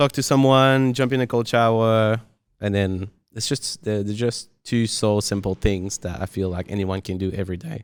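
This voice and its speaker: A man speaks at a moderate pace with a non-native accent, his pitch fairly low and its variation ordinary. The recording is very clean, with a silent background. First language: not English. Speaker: podcast host. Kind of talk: casual interview chat.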